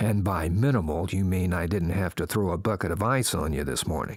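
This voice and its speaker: A growling, put-on character voice moves at a fairly quick pace. Its loudness stays very even. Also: man, very deep, low pitch for a man. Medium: read story. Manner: dry, chiding.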